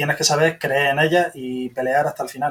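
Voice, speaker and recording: Speaking at a fairly quick pace, a man with a fairly high pitch sounds somewhat breathy, his intonation monotone and flat. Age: 40s. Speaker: software developer, podcast listener. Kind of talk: interview.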